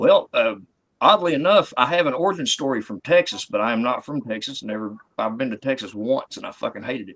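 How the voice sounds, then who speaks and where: Speaking very fast with a Southern US accent, a man at medium pitch makes very wide pitch swings and big swings in loudness. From US South (West Virginia and Tennessee). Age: 50s. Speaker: comedian. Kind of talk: casual chat on live comedy show.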